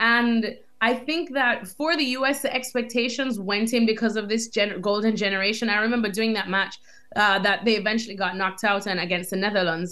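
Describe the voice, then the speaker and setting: Here a woman talks at a fairly quick pace with ordinary pitch variation. Her loudness is very even. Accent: American. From Jamaica. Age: young. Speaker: soccer TV host and reporter. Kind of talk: interview. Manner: animated.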